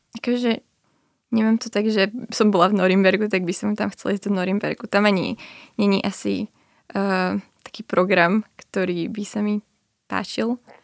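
A woman talks in a monotone, flat intonation. Her speech has long, frequent pauses, and the sound is dry and close with no echo. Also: medium pitch for a woman, moderate pace. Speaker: journalism student and documentary author. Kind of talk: radio interview.

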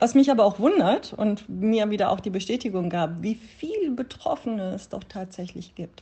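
A woman speaks in a plain, everyday voice, fairly high in pitch with lively intonation, big swings in loudness, and hardly any pauses. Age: 50s. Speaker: yoga teacher. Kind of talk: interview; guided meditation. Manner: slow.

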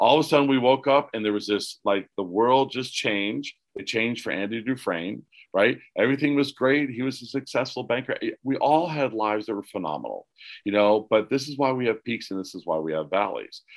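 Speaking at a fairly quick pace, a man uses lively intonation at a medium pitch. The recording is very clean, with a silent background. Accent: American. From Pennsylvania. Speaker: casting director and life coach. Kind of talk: interview.

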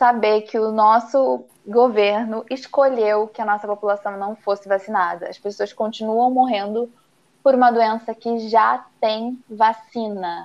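A woman with a fairly high pitch speaks in a normal speaking voice at a fairly slow pace, using fairly even intonation with big swings in loudness. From Brazil, interior of Paraná. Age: 20s. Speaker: embroidery teacher. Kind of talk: casual chat.

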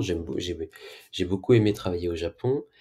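A somewhat breathy man with ordinary pitch variation, in a very clean recording with a silent background. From Brittany, France. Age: 40s. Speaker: health tech CEO. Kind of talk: interview. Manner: halting.

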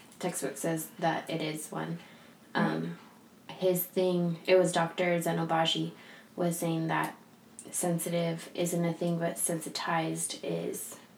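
Against noticeable background noise, a woman with an American accent speaks at a very slow pace. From San Diego, California. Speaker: skincare podcast co-host, esthetician. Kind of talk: casual chat, podcast intro. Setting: studio at a spa. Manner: halting, forgets words.

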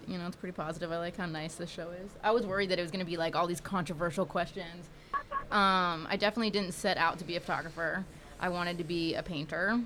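The speech comes at a very fast pace. Intonation stays fairly even. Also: woman. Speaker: photographer. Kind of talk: casual chat, interview. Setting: podcast studio.

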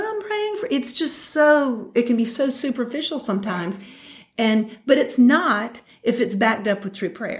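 A woman's fairly high voice with very wide pitch swings, in a Southern US accent. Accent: Southern American. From US South, Metro Atlanta, Georgia. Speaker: mothers' fellowship leader. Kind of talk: casual chat. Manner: halting.

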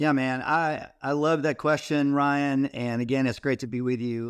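In a very clean recording with a silent background, a man with a Texan accent speaks at a medium pitch and a fairly slow pace with ordinary pitch variation. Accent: Texan American. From Texas. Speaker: ministry founder, former youth pastor. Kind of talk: casual faith interview. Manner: energetic.

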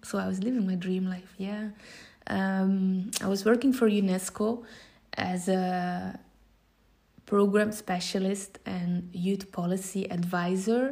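A woman with a Flemish accent speaks at a very slow pace and medium pitch, her voice somewhat breathy with a dark, mellow tone and fairly even intonation. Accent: Belgian Dutch (Flemish) accent in English. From Belgium. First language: Dutch. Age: 30s. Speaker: social entrepreneur and motivational coach. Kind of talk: podcast monologue. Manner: hesitant, many filler sounds.

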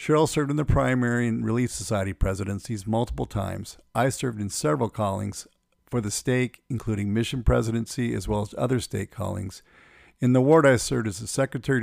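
The recording is very clean, with a silent background. A man with a normal speaking voice talks at a fairly quick pace, at medium pitch, with ordinary pitch variation. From US, Phoenix area, Arizona. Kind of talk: personal testimony narration.

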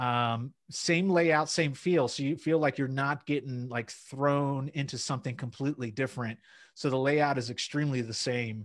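Against a quiet background, a man with a fairly high voice talks at a moderate pace in an energetic tone, barely pausing at all. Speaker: accountant and YouTuber guest. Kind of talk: casual chat. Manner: extroverted, energetic.

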